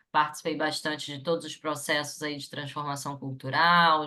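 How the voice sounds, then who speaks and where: A woman's very deep, low voice with a bright, sharp tone, fairly even intonation and a moderate pace against a quiet background. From Rio de Janeiro, Brazil. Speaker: psychologist and HR consultant. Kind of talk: webinar panel talk.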